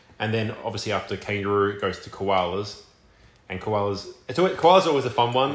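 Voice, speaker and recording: Against noticeable background noise, a man with a fairly low pitch speaks at a very fast pace with ordinary pitch variation. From Australia, Melbourne. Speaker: college football punter. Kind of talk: casual chat.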